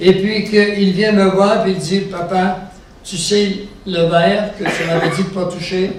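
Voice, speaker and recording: A man with a high voice talks at a very slow pace. Audible room echo and noticeable background noise fill the recording. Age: 70s. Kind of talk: religious teaching talk to a live audience. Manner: conversational, engaging audience with questions.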